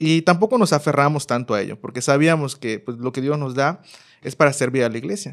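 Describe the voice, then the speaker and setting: This man has a plain, everyday voice, pitched fairly high, with ordinary pitch variation and a moderate pace. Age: 30s. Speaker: youth minister. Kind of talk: casual chat.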